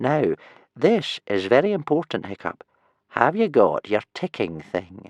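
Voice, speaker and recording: A man in a put-on character voice, fairly high-pitched and wheezy, at a fairly slow pace over a quiet background. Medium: read story. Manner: wheezing, cryptic.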